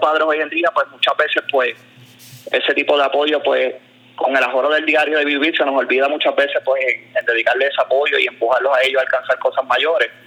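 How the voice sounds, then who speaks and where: Noticeable background noise fills the recording. A man speaks at a fairly quick pace. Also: very even loudness. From Puerto Rico. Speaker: basketball coach. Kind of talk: interview.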